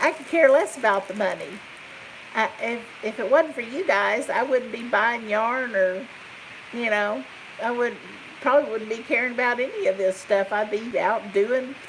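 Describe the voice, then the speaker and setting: A woman at a fairly high pitch and moderate pace, ordinary pitch variation, noticeable background noise. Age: 50s. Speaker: crochet YouTuber, retired nurse. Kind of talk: casual live stream chat. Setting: live stream. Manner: animated.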